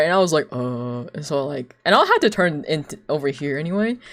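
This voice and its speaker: Someone with a non-native accent speaks in an animated tone at a moderate pace. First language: not English. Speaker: streamer and artist. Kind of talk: casual chat.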